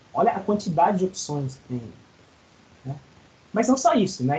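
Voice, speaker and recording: This man talks at a moderate pace. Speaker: college lecturer. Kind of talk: online lecture. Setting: video call class.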